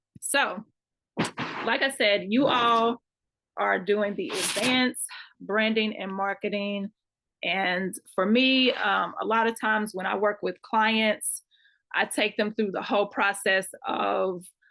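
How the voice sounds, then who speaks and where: A woman with a Kentucky accent, her pitch fairly high and her tone bright and sharp, with fairly even intonation, a very slow pace and long, frequent pauses. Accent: country Kentucky. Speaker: marketing consultant. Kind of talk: online class lecture.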